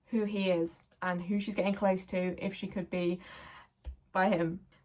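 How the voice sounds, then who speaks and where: A woman speaks with a southern English accent. Her medium-pitched voice is somewhat breathy. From South of England. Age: 20s. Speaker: book reviewer. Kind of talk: casual talk to camera. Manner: enthusiastic.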